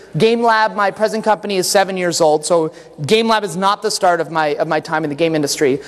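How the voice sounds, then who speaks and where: Loud and high-pitched, a man talks fairly quickly with hardly any pauses and ordinary pitch variation, with noticeable background noise behind him. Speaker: game designer and conference speaker. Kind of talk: conference talk. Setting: stage with audience. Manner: halting, many fillers and restarts. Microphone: echo in the room.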